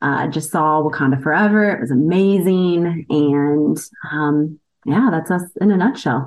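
Speaking in a Midwestern American accent, a woman has a very deep, low pitch. She talks at a fairly slow pace with ordinary pitch variation. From US Midwest, Indiana (Indianapolis area). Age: 40s. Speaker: executive assistant. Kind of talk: interview.

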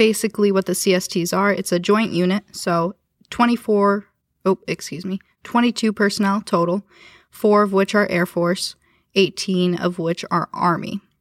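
On a very clean recording with a silent background, a woman speaks at a moderate pace and medium pitch in a flat monotone, the sound dry and close with no echo. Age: 20s. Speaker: air national guard airman. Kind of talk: interview.

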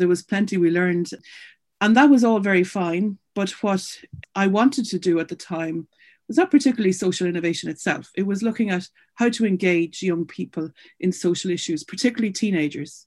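Speaking with an Irish accent, a woman uses a medium pitch. The background is quiet. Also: ordinary pitch variation, fairly quick pace. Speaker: charity founder and CEO. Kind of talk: interview.

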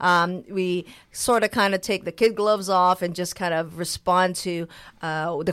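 In a very clean recording with a silent background, a woman uses an ordinary speaking voice at medium pitch and a moderate pace. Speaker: radio host and business owner. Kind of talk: radio talk show. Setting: radio studio. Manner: upbeat.

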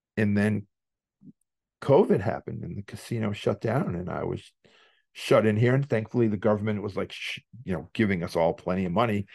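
A man with a Massachusetts accent and a fairly low pitch talks at a fairly quick pace with ordinary pitch variation and long, frequent pauses, the sound dry and close with no echo. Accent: Massachusetts New England. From Worcester, Massachusetts. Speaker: hardcore band singer and poker player. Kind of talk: casual interview, storytelling.

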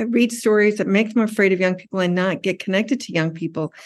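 A woman speaks at a medium pitch in a plain, everyday voice. Her intonation stays fairly even against a quiet background. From US and Tokyo, Japan. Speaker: PhD student in urban studies, former publisher. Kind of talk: interview.

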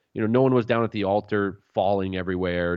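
With a normal speaking voice, a man talks at a fairly quick pace and a fairly low pitch. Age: 30s. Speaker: pastor and author. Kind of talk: radio interview. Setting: radio program.

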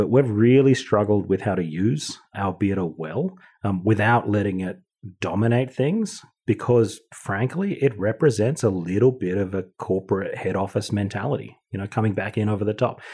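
Against a quiet background, a man with an Australian accent speaks at a moderate pace, his fairly low pitch carrying a dark, mellow tone and ordinary pitch variation. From Australia (Wagga Wagga, Sydney). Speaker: brewing director. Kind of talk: casual chat.

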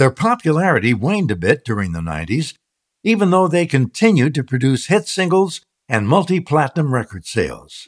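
A man with fairly high pitch and vocal fry talks at a fairly quick pace, his pitch swinging very widely. The recording is very clean with a silent background and a dry, close sound with no echo. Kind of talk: podcast host intro with sponsor read.

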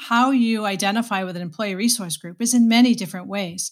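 A somewhat breathy woman at a fairly quick pace, fairly high in pitch with ordinary pitch variation, in a very clean recording with a silent background. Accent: American. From Boston, Massachusetts. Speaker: HR executive, former nurse. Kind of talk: interview.

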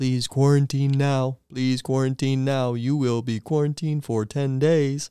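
A man performs a put-on character voice at a medium pitch and a moderate pace, with monotone, flat intonation, hardly any pauses and a very clean recording with a silent background.

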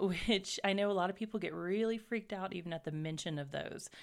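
A plain, everyday voice from a woman, medium in pitch, with lively intonation at a moderate pace, on a very clean recording with a silent background. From US South, raised in several places. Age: 30s. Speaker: podcast co-host. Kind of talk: casual chat.

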